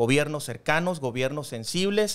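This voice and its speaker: A man's fairly high voice, lively in intonation, at a moderate pace. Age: young. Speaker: political commentator and public servant; political commentator. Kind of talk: political discussion panel. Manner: formal. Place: studio. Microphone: studio mic.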